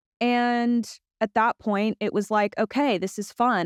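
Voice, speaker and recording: Against a quiet background, a woman with an American accent speaks at a fairly high pitch. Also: dry, close sound with no echo. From Los Angeles, California. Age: 20s. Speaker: podcast host. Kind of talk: personal storytelling monologue. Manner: casual, filler-heavy.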